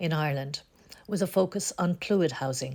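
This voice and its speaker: With an ordinary speaking voice, a woman talks at a moderate pace in a fairly low pitch with ordinary pitch variation. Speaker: oral history interviewer. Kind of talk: project introduction.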